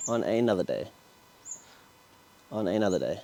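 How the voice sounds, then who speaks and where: A man with an Australian accent. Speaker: car builder YouTuber. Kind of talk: workshop vlog tutorial. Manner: fast.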